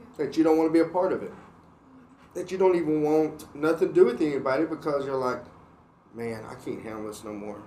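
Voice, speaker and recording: Audible room echo surrounds a man speaking at a very fast pace and a fairly high pitch, with big swings in loudness. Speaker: church podcast host. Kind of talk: casual faith discussion.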